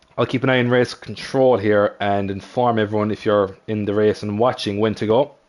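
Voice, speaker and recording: A man with an Irish accent talks at a fairly quick clip in a fairly low voice, with hardly any pauses. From Ireland. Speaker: sim racing commentator. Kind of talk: live commentary. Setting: live stream. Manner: animated.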